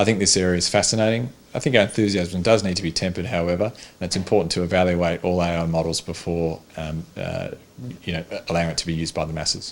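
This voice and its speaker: A man with an Australian accent talks at a very fast pace. His pitch is very deep and low, with fairly even intonation. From Tasmania, Australia. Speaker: cardiologist. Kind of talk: interview answer.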